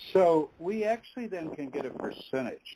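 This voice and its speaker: In an American accent, a man speaks at a moderate pace with a dark, mellow tone. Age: 70s. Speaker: biblical scholar and author. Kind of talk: interview. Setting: online radio interview.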